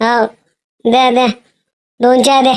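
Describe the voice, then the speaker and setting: A woman puts on a cartoonish character voice at a high pitch. Her intonation stays flat and monotone. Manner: fast, bossy, teasing.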